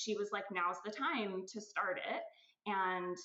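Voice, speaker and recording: A woman speaks at a fairly slow pace in a medium pitch, her tone bright and sharp. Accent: Californian. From California. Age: 40s. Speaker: aesthetic nurse, clinic owner. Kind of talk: podcast interview.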